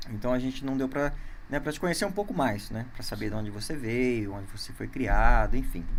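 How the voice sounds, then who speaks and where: Speech comes at a fairly quick pace. Audible room echo surrounds it. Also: man. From interior of São Paulo state, Brazil. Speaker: podcast host. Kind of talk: casual interview. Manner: halting, many fillers.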